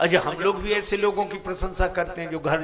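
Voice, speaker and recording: Behind this man's speech, background noise is noticeable. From Etah, Uttar Pradesh, India. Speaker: Ramayana discourse preacher. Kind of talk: religious discourse.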